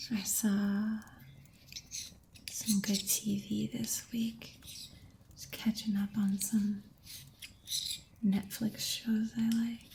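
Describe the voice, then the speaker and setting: A soft-spoken woman with a fairly high pitch and a dark, mellow, somewhat breathy tone talks at a very slow pace in a flat monotone, leaving long, frequent pauses. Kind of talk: ASMR soft-spoken chat.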